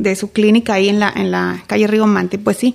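With monotone, flat intonation, a woman talks at a medium pitch and a fairly quick pace. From Mexico, Reynosa, Tamaulipas. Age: 40s. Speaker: political candidate. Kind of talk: interview.

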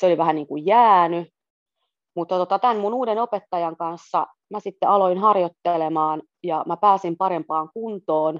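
This woman has an unremarkable speaking voice, fairly low in pitch with ordinary pitch variation, moving at a moderate pace. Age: 40s. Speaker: journalist and amateur swimmer. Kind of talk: casual interview.

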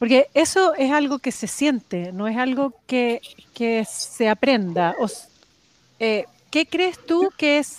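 In a dry, close sound with no echo, a woman speaks very slowly at a high pitch that swings very widely. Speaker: podcast host, vegetable grower. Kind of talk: casual interview.

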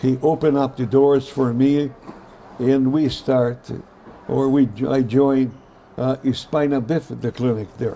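A man with a Brazilian accent and medium pitch speaks at a very slow pace in monotone, flat intonation over noticeable background noise. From Brazil, São Paulo. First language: Portuguese. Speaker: pediatric orthopedic surgeon. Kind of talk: interview storytelling. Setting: hotel interview set.

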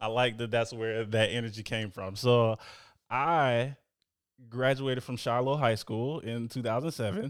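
On a very clean recording with a silent background, a man with a plain, everyday voice and an American accent speaks at a moderate pace with medium pitch and fairly even intonation. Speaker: podcast host. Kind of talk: interview.

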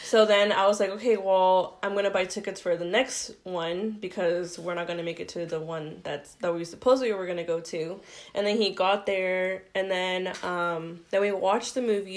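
A woman talks in an ordinary speaking voice, medium in pitch, with fairly even intonation. Her pace is moderate and she hardly pauses. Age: 20s. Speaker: stay-at-home mom and photographer. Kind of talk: casual chat.

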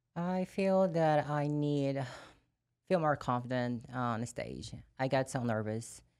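In a very clean recording with a silent background, the speaker talks very slowly with a Brazilian accent and ordinary pitch variation. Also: woman, very deep, low pitch for a woman. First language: Portuguese. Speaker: wellness bodybuilding competitor. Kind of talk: casual chat.

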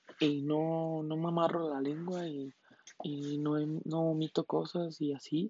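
A woman with a Mexican accent speaks at a very deep, low pitch. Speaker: podcast host. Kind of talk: casual monologue. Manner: casual, slangy chatter.

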